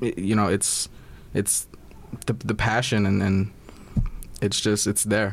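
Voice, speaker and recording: A man with an American accent, fairly low in pitch, at a very slow pace, with long, frequent pauses, monotone, flat intonation, and very even loudness. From Brooklyn, New York. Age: young. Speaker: production assistant. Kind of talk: interview.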